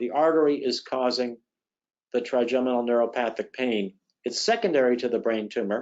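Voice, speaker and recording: With a normal speaking voice at medium pitch, a man talks using fairly even intonation. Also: fairly quick pace. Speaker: neurosurgeon giving a webinar talk. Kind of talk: webinar lecture. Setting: online webinar.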